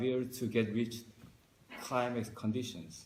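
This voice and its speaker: Audible room echo surrounds a man's somewhat breathy, medium-pitched voice, delivered at a moderate pace with fairly even intonation. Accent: Korean. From South Korea. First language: Korean. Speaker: marine scientist. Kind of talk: interview. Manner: halting.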